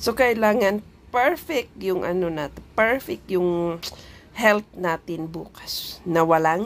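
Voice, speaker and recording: On a very clean recording with a silent background, a woman's medium-pitched voice moves with lively intonation. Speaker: overseas worker vlogger. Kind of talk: casual vlog talk. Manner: animated.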